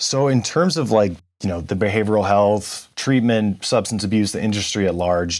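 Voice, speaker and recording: A man talks at a moderate pace with a fairly low pitch and ordinary pitch variation in a plain, everyday voice. The recording is very clean, with a silent background. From California. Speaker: podcast host. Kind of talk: interview.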